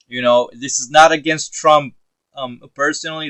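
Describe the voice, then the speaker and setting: A man with an American accent talks at a moderate pace with fairly even intonation. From United States. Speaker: political commentator vlogger. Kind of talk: casual opinion monologue. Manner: halting, many fillers and repeats.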